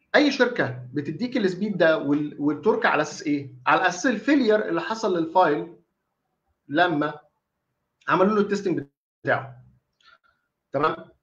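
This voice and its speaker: Long, frequent pauses mark this man's moderate-paced speech, delivered at a high pitch with very wide pitch swings. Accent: Egyptian. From Egypt. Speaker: dentist lecturer. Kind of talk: online lecture. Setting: live online stream. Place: home room. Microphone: webcam.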